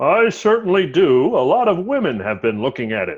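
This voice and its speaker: Putting on a character voice, a man speaks fairly quickly at a high pitch, his voice swinging very widely up and down. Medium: stage play.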